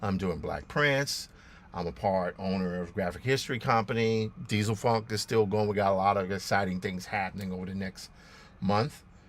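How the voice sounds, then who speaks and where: A man with a fairly low pitch uses a plain, everyday voice at a moderate pace with ordinary pitch variation. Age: 60s. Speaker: comic artist and livestream host; comic artist, livestream host. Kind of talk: casual livestream talk while drawing. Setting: live stream.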